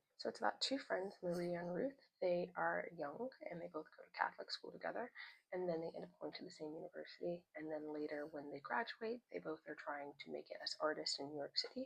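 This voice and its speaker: A soft-spoken woman talks at a fairly quick pace with hardly any pauses and big swings in loudness. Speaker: lifestyle vlogger. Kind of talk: casual book review vlog. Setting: at home, indoors. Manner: soft-spoken, speaking quietly.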